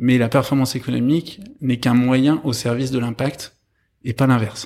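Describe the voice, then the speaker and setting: At a fairly slow pace, a man speaks at a medium pitch on a very clean recording with a silent background. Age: 30s. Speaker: social entrepreneur. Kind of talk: interview. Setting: in person, speaking with masks on. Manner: halting, many fillers.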